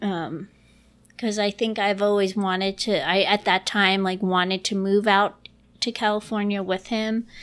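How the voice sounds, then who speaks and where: Heard in a very clean recording with a silent background, a woman with an American accent talks at a moderate pace and medium pitch, with monotone, flat intonation. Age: 30s. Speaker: improviser and nanny. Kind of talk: casual interview chat. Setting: home recording in dining room.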